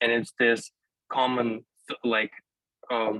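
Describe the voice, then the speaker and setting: A man with a Russian accent speaks at medium pitch. His delivery is very slow, with monotone, flat intonation. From Ukraine, Kherson. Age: 20s. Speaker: university student. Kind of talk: panel discussion. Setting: video call. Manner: halting.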